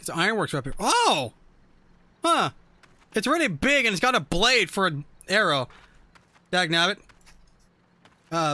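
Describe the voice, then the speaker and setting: Raising and projecting his high-pitched voice, a man speaks at a moderate pace with very wide pitch swings, long, frequent pauses, and a bright, sharp tone. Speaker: gaming streamer. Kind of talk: live stream chat while gaming. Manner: slurs words at times; animated.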